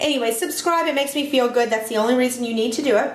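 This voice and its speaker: Amid noticeable background noise and audible room echo, a woman talks very fast in a high pitch with ordinary pitch variation. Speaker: home cooking video host. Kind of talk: cooking tutorial. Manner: animated.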